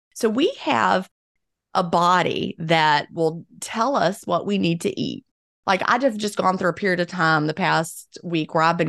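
Over a quiet background, a woman with vocal fry speaks fairly slowly at a fairly low pitch, with ordinary pitch variation. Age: 50s. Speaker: author and former teacher. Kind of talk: interview.

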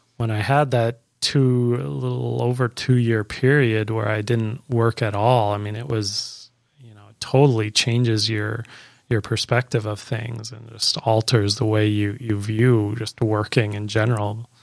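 In a normal speaking voice with a Canadian accent, a man talks fairly slowly at a medium pitch with fairly even intonation, recorded very cleanly against a silent background. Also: big swings in loudness. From Canada. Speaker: registered nurse. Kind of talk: personal testimony in casual interview. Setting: studio.

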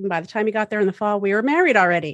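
Recorded with a dry, close sound and no echo, a woman with an American accent talks at a medium pitch with ordinary pitch variation. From Massachusetts. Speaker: architect. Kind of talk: casual interview.

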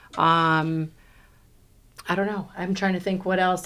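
Flat, monotone delivery at a moderate pace in an American accent, with audible room echo around it. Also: woman. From New York. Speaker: real estate team leader. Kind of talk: podcast interview. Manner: loud.

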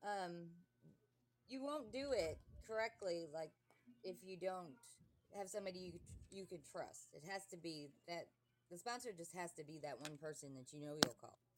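Lively intonation, big swings in loudness and long, frequent pauses mark this voice at a moderate pace. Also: woman, fairly low pitch for a woman. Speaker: person in addiction recovery. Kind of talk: testimony.

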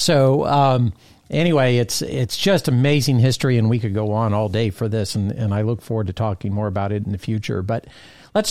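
A man speaks in an ordinary speaking voice at a medium pitch and a fairly quick pace with ordinary pitch variation, captured in a very clean recording with a silent background. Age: 50s. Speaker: podcast host, aviation association director. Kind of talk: casual interview.

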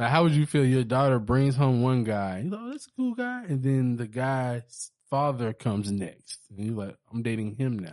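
A man talks at a moderate pace with ordinary pitch variation in an unremarkable speaking voice. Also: medium pitch for a man, hardly any pauses. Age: 30s. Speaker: podcast co-host. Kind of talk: casual chat.

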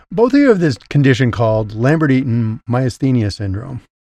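A man's somewhat breathy voice, dark and mellow in tone, medium in pitch, with lively intonation at a moderate pace. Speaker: podcast host. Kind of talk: scripted intro then interview.

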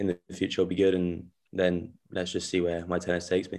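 With a London accent, a man speaks in a very deep, low pitch and a monotone, flat intonation against a quiet background. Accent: southern English, London. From southwest London (Wimbledon), French parents. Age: young. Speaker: tennis player, student athlete. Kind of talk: interview answers, casual. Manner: hesitant, many fillers.

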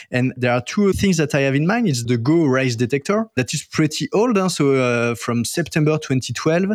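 With a French accent, a man speaks at a moderate pace in a fairly high pitch, using lively intonation, very even loudness and hardly any pauses. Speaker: podcast host. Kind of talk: casual interview chat.

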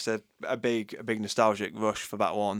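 A man with a Yorkshire accent, in a very clean recording over a silent background. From Yorkshire, England. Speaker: co-host. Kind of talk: casual chat. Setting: studio.

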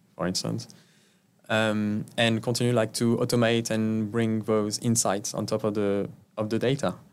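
A man with a French accent and a fairly low pitch, at a moderate pace. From France. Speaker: tech executive. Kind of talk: interview.

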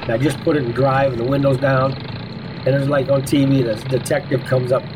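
Noticeable background noise and audible room echo are present. The speaker uses an American accent. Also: man. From Iowa, US Midwest. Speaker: former prisoner. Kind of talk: interview.

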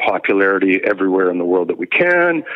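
A man with a Western Canadian accent at a fairly quick pace. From British Columbia, Canada (Victoria). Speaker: rock musician, singer. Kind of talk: interview chat. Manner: halting, repetitive fillers.

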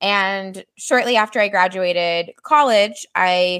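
A woman with a Midwestern American accent, bright and sharp in tone, at a very slow pace. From US Midwest, Missouri. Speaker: marketing agency founder. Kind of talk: interview on a live stream.

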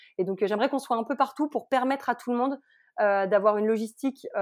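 A woman speaks with fairly even intonation. The sound is dry and close with no echo, over a quiet background. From France, Haute-Savoie. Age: 30s. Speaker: food logistics entrepreneur. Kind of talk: interview. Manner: hesitant, many fillers.

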